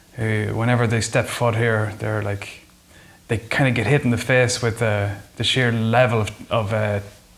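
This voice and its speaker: Flat and monotone, a man speaks at a medium pitch with an Irish accent. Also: moderate pace. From Ireland. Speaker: folk musician. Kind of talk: interview.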